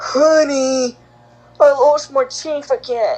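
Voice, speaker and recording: Someone speaks very slowly in a high-pitched, put-on character voice. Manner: comical, frail.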